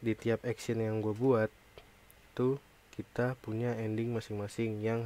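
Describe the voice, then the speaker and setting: Delivered at a moderate pace, the flat, monotone speech sounds dry with no echo over light background noise. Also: man. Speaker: gamer youtuber. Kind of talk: casual gaming commentary. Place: home room.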